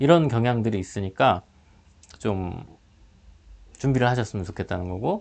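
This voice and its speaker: A man talks at a moderate pace. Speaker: high school teacher. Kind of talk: online class lecture.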